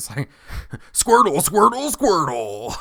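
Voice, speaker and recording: Putting on a character voice, a man speaks at a high pitch. His pitch swings very widely. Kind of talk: loud announcer delivery.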